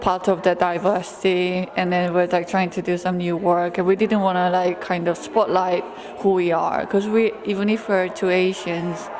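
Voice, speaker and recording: Over music in the background, a woman talks with a Korean accent. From South Korea. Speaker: photographer. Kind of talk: interview. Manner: halting.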